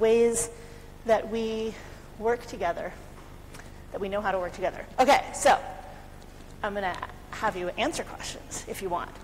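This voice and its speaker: With an American accent and ordinary pitch variation, a woman speaks at a fairly high pitch over light background noise. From US, California. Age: 40s. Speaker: conference speaker, community participation lead; conference presenter. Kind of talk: conference talk. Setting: conference room with audience. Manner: fast. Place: hall.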